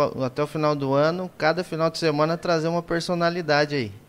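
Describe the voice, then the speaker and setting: A man's fairly high, plain, everyday voice, with fairly even intonation and a fairly quick pace. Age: 20s. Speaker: podcast host, irrigation engineer. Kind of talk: casual chat. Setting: live stream.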